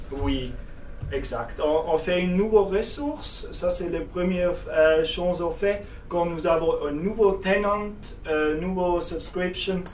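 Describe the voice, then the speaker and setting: With a German accent, a man talks very slowly at a high pitch with ordinary pitch variation, amid noticeable background noise and audible room echo. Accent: German-speaking, non-native French. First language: German (speaking French). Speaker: software company representative. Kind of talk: product demo tutorial. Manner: halting, many hesitations.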